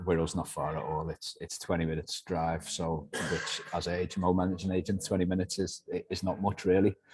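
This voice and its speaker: A man with a Liverpool accent speaks fairly quickly in a very deep, low pitch. His intonation is monotone and flat. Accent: soft Liverpool (Scouse). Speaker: letting agency director. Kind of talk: business interview.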